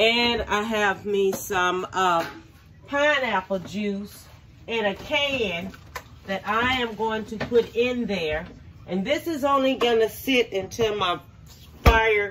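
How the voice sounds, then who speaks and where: The speech moves at a very slow pace over light background noise. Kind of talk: casual cooking tutorial. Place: kitchen. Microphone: phone near.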